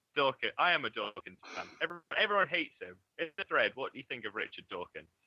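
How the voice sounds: A man talks fast at a medium pitch, his voice carrying a slightly husky edge and big swings in pitch. The sound is dry and close, with no echo.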